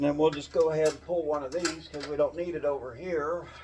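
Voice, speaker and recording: A man talks in a fairly high pitch with monotone, flat intonation. Noticeable background noise runs underneath. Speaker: DIY car builder. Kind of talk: workshop tutorial. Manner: casual, hesitant with fillers.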